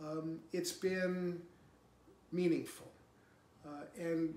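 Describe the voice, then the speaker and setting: A man with an American accent talks at a high pitch with fairly even intonation, and audible room echo surrounds his voice. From New Hampshire, USA. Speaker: political candidate and former congressman. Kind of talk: campaign speech to camera. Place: home room.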